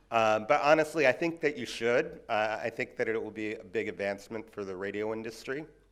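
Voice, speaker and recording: A man's medium-pitched voice at a fairly quick pace, hardly any pauses, ordinary pitch variation and big swings in loudness. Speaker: audio measurement industry speaker. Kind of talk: conference presentation.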